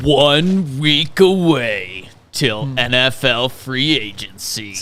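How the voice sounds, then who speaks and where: Putting on a character voice, a man speaks at a very slow pace in a dramatic tone with a medium pitch. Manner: silly, dramatic.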